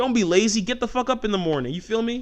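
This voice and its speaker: An animated male voice, bright and sharp, with very wide pitch swings at a moderate pace. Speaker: podcast host, screenwriter and filmmaker. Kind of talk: casual monologue.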